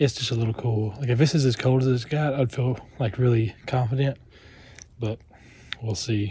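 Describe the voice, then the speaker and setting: At a moderate pace with long, frequent pauses, a man speaks in a dark, mellow, somewhat breathy tone at a medium pitch with fairly even intonation. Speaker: vlogger. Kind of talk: casual vlog narration. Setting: outdoors at a campsite. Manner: quiet so as not to wake friend.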